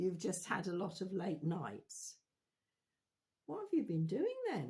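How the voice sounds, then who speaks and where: Her voice is somewhat breathy, this woman's tone dark and mellow. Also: medium pitch for a woman, ordinary pitch variation, fairly slow pace. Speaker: children's talk presenter with puppet. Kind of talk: church children's talk with puppet dialogue.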